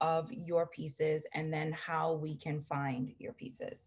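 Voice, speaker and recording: A woman's somewhat breathy, fairly low voice at a very slow pace against a quiet background. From Jamaica. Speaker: podcast host, gift guide vlogger. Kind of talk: casual product showcase vlog. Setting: video call. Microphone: webcam.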